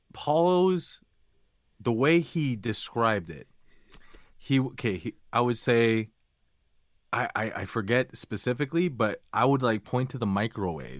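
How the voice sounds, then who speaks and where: A man at medium pitch, with lively intonation, a fairly slow pace and long, frequent pauses, on a very clean recording with a silent background. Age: 20s. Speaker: retail worker. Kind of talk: casual chat.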